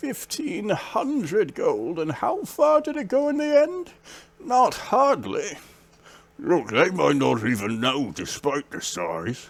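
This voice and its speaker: A man's put-on character voice, high-pitched, at a fairly slow pace. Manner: casual, placating.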